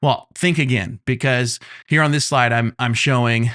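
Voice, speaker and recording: A man's normal speaking voice, medium in pitch with ordinary pitch variation, against a quiet background. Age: 30s. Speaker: YouTube growth coach. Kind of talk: tutorial. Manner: casual, with frequent fillers.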